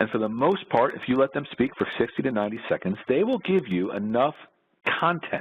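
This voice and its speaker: Speaking at a fairly quick pace, a man with an American accent uses a medium pitch and very wide pitch swings. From New York. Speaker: orthopedic surgeon. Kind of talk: presentation. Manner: fast.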